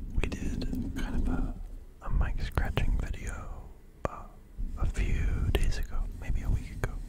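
Someone whispers at a fairly slow pace with long, frequent pauses. Noticeable background noise runs underneath. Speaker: ASMR creator. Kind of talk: ASMR whispered ramble to camera. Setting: close to microphone in studio. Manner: soft-spoken, whispering, relaxed.

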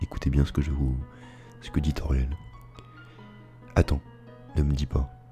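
A man's very deep, low voice over background music. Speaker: gameplay narrator. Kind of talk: ASMR gameplay commentary. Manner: soft-spoken, whispered.

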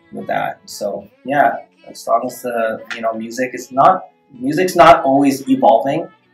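Faint music plays in the background as a man speaks at a fairly slow pace. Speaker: dance choreographer. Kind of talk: interview answer. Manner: soft-spoken. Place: meeting room. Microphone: camera far.

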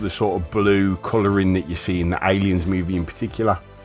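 Over background music, a man with a very deep, low voice talks at a fairly quick pace. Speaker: collector reviewing a steelbook. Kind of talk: product showcase commentary. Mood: calm admiring. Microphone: phone near.

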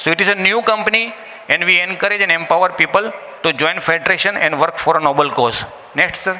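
A man talks at a very fast pace. He has a high-pitched voice. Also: ordinary pitch variation, very even loudness. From India. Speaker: business presenter. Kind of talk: business presentation. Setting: live event with audience. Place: hall. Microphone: podium.

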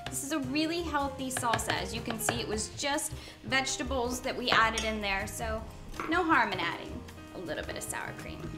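Clear music plays in the background. A woman speaks over it at a fairly quick pace. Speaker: chef host. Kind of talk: tutorial. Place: kitchen. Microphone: lapel.

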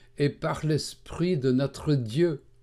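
Very slowly, a man with a dark, mellow tone and ordinary pitch variation speaks on a very clean recording with a silent background. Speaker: Bible teacher. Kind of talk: religious teaching narration.

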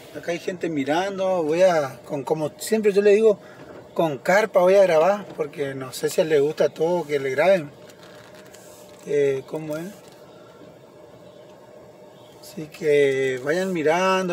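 With light background noise and a dry sound with no echo, a man speaks at a fairly slow pace. He uses ordinary pitch variation and takes long, frequent pauses. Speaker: driver vlogger. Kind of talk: casual vlog chat. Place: car. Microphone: phone near.

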